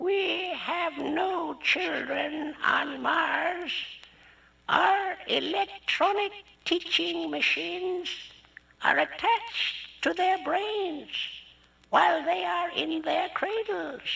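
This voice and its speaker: Extremely high-pitched, very slow speech in a put-on character voice. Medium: read story.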